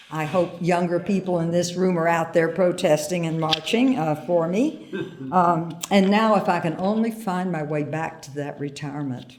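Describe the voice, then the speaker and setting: Against noticeable background noise, a woman speaks at a moderate pace, her fairly low pitch showing ordinary variation. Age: 80s. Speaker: retired peace activist. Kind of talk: award acceptance speech.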